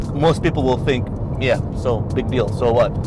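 Over music in the background, a man talks at a fairly quick pace in a dry sound with no echo. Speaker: car reviewer. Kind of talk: car review commentary. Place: car.

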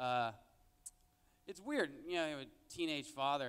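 His intonation is lively throughout as the man talks. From Mexican-American, raised in a Mexican town. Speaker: stand-up comedian. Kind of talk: stand-up comedy set with jokes and crowd interaction. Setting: stage with audience. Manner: conversational, with filler words and laughing at his own punchlines. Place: stage. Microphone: handheld.

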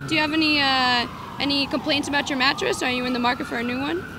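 The voice is raised and projected, with an upbeat, bubbly tone, ordinary pitch variation and a very fast pace. Noticeable background noise runs underneath. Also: woman, high pitch for a woman. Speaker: on-camera host. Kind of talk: red carpet and street interview host. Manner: upbeat, bubbly, chatty, comedic.

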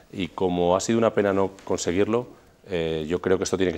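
Talking very fast, a man with a very deep, low pitch keeps his intonation fairly even. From Spain, Burgos; Spain. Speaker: regional parliament president; politician. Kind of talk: TV interview. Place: studio. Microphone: lapel.

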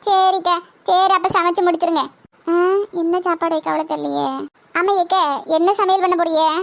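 Woman in a cartoonish character voice at an extremely high pitch. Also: moderate pace. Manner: lively, plain-spoken.

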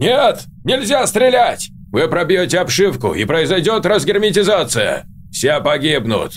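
A man speaks at a moderate pace and high pitch, with very wide pitch swings. His loudness stays very even over clear background noise. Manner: authoritative, urgent.

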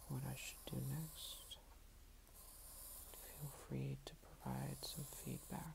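The speaker is soft-spoken and talks at a very slow pace. Noticeable background noise sits behind the voice. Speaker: ASMR creator. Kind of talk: ASMR soft-spoken talk while drawing. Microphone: phone near.

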